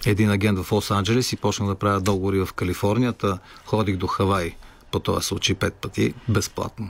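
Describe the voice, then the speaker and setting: A man with an unremarkable speaking voice talks at a moderate pace, pitched fairly low. His intonation is fairly even and his loudness very even. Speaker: rock musician. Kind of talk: radio interview.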